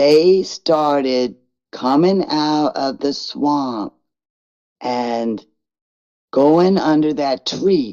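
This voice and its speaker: A dark, mellow tone and a very deep, low pitch mark this woman's voice. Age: 60s. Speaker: sasquatch witness. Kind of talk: interview. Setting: live stream. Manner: halting.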